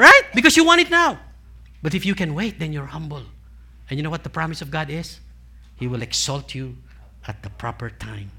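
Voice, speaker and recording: A man with a Filipino accent at a fairly quick pace, with long, frequent pauses and big swings in loudness, on a very clean recording with a silent background. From Philippines. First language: Tagalog. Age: 60s. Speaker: preacher. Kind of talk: sermon. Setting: church with congregation. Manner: interactive call-and-response.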